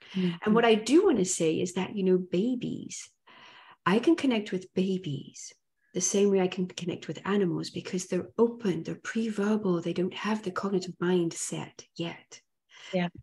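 A woman with a dark, mellow tone sounds somewhat breathy as she speaks at a moderate pace with fairly even intonation. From Africa. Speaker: hypnotherapist and animal communicator; interview guest. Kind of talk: interview. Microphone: video call.

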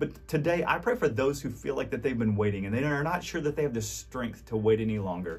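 At a very fast pace and with hardly any pauses, a man with a medium-pitched voice, warm tone, vocal fry and lively intonation speaks. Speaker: pastor. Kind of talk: devotional message ending in fervent prayer, spoken directly to the audience. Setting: recorded video message to online audience. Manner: earnest, pleading, heartfelt; halting and repetitive in prayer with restarts; warm, encouraging, sincere. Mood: earnest, warm, hopeful. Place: studio.

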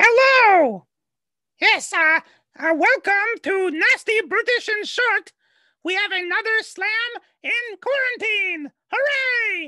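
Shouting loudly in a put-on character voice at an extremely high pitch, the speaker moves at a fairly slow pace with long, frequent pauses. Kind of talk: live show hosting. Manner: loud, shouting.

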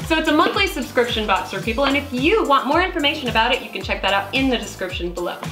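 Clear music plays behind a woman who talks very fast at a high pitch, her voice making very wide pitch swings. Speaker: channel host. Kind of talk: casual unboxing talk to camera. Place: home room.

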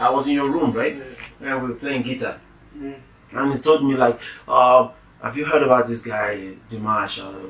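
A man speaks at a moderate pace with fairly even intonation. Audible room echo surrounds his voice. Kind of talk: casual conversation. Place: home room.

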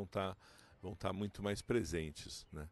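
The speech has fairly even intonation and a dry sound with no echo. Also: man. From Brazil. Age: 40s. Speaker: professor and therapist; professor. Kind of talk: interview monologue. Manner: halting, many fillers. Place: garden. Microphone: handheld.

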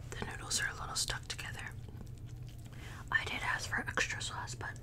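At a fairly quick pace, a woman is whispering. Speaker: ASMR mukbang creator. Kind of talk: casual talk to camera. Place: home room. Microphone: studio mic.

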